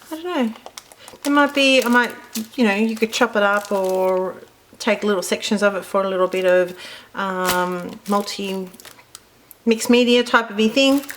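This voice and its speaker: A woman with an Australian accent, medium pitch and ordinary pitch variation, with long, frequent pauses. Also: moderate pace. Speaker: card-making crafter. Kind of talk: product unboxing tutorial. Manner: casual, chatty.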